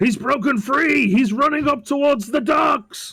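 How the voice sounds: Shouting in a put-on character voice at an extremely high pitch, a man projects a raised voice at a moderate pace.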